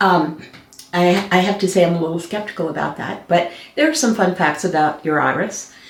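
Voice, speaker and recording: A woman's medium-pitched voice comes through audible room echo and noticeable background noise. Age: 60s. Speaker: color analyst, co-host. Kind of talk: casual chat. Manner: hesitant, many fillers.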